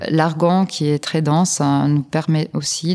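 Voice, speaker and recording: A woman with a non-native accent and a fairly low pitch speaks at a very slow pace. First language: not French (speaking French). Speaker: particle physics PhD student. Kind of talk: interview. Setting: science film festival. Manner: halting.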